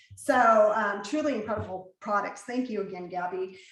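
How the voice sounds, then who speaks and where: Amid noticeable background noise and audible room echo, a woman speaks at a moderate pace with very wide pitch swings. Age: 40s. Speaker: event host and mother. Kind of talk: hosting an online panel.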